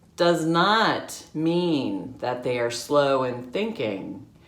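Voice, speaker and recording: Speaking at a very slow pace, a woman uses lively intonation amid audible room echo. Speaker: realtor. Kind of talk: casual vlog talk to camera.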